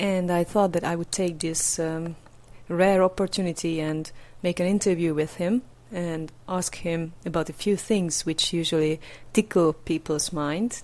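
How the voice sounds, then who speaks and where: A fairly low-pitched woman with a Hungarian accent, fairly even intonation and a fairly slow pace, on a very clean recording with a silent background. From Hungary. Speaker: podcast interviewer. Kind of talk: podcast intro and interview. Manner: hesitant, many fillers.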